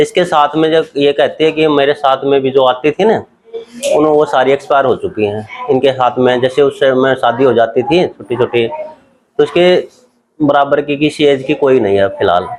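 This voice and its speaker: A man speaks in a plain, everyday voice, fairly high in pitch, with ordinary pitch variation and very even loudness. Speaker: family member of elderly voter. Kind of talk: interview answer.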